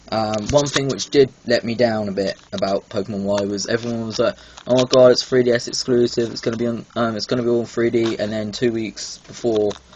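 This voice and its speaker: A man at medium pitch, fairly quick pace and fairly even intonation, over noticeable background noise. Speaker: gaming YouTuber. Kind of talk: video game review. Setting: home recording, bad lighting. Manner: frequent filler ums, hesitant.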